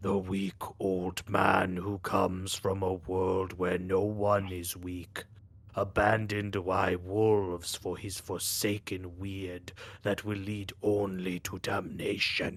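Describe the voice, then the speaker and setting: Put-on character voice from a man, booming, loud and very deep, in a monotone, flat delivery at a fairly slow pace. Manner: mocking, menacing.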